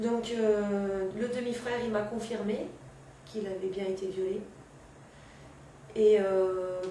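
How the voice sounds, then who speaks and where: A woman's medium-pitched voice, with fairly even intonation, comes through audible room echo and noticeable background noise. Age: 40s. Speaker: interviewee, mother. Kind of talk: interview testimony. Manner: hesitant, many fillers.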